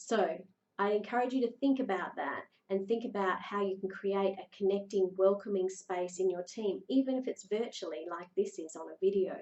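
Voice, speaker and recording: A woman talks in a plain, everyday voice at a fairly quick pace. Her intonation is fairly even. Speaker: leadership coach. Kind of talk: video talk. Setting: recorded video.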